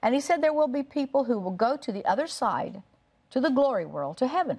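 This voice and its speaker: A woman talks with very wide pitch swings. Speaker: TV guest. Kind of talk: conversational storytelling on talk show. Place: studio. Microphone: lapel.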